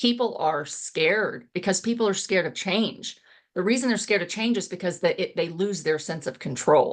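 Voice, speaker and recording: With an American accent and a plain, everyday voice, a woman at a medium pitch speaks with lively intonation against a quiet background. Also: moderate pace. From Texas. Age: 50s. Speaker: real estate investor and coach. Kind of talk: interview conversation.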